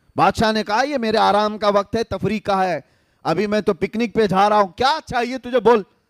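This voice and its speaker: A man's dramatic delivery over music in the background, with a dry, close sound and no echo. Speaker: Islamic scholar / preacher. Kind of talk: Islamic sermon (bayan) to a live audience. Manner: storytelling within sermon, dramatic.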